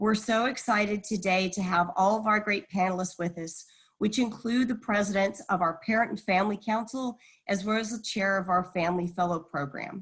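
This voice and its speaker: Speaking with an American accent, a woman has a medium pitch, fairly even intonation and a somewhat breathy quality. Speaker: university event moderator. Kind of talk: webinar hosting.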